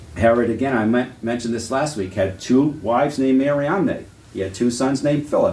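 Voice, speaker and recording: Audible room echo surrounds a man speaking with a Boston accent at a fairly quick pace. His pitch is medium, with ordinary pitch variation. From New England, Massachusetts. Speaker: Bible teacher. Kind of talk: lecture. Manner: conversational.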